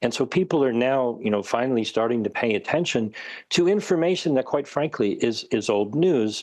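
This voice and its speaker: Here is a man with a normal speaking voice at medium pitch. His intonation is lively, his loudness very even, and the background quiet. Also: moderate pace. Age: 60s. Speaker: researcher and author. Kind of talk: interview.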